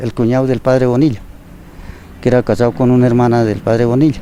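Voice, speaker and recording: The man's pitch is medium, heard against noticeable background noise. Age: 70s. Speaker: retired builder. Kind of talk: interview.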